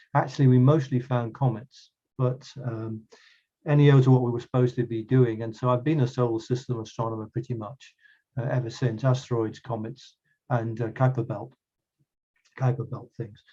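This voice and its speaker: A fairly quick, somewhat breathy voice with a dark, mellow tone, monotone, flat intonation and long, frequent pauses. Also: man, medium pitch for a man. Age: 60s. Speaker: astronomer. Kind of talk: lecture. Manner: halting, many fillers.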